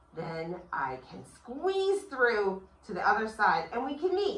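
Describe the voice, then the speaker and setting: Using a put-on character voice, a woman talks at a fairly slow pace with a fairly high pitch and an upbeat tone. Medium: read story. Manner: friendly, upbeat.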